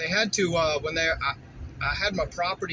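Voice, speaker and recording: Against noticeable background noise, a man speaks at a moderate pace in a relaxed tone. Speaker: vlogger, rural landowner. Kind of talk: casual vlog narration while driving. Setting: in a car. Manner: loud; relaxed, rambling with fillers.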